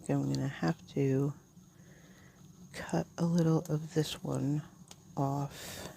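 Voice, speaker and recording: Mumbling and somewhat breathy, a woman with a very deep, low voice talks very slowly with fairly even intonation and long, frequent pauses. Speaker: planner channel creator. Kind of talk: casual plan-with-me tutorial.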